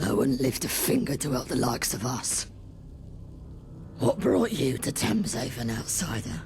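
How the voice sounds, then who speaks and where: A man's put-on character voice at a medium pitch, with long, frequent pauses and clear background noise. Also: moderate pace. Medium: video game. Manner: earnest, firm.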